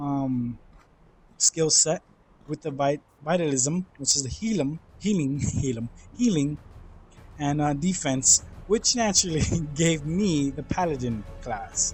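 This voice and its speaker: Pausing long and often, a man with a somewhat breathy, fairly high-pitched voice speaks at a fairly slow pace with lively intonation. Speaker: gaming YouTuber. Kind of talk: game review commentary. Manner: halting, self-correcting; casual conversational.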